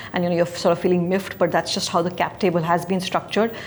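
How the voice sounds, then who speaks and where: A woman with a fairly low pitch speaks in a monotone, flat way over noticeable background noise. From India. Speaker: investment banker. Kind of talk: interview. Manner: fast.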